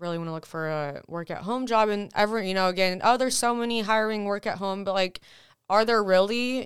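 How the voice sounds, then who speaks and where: Here a woman speaks with an American accent in an ordinary speaking voice at a medium pitch. Her pace is fairly quick, and the recording is very clean with a silent background. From Texas. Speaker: podcast guest. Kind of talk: casual chat.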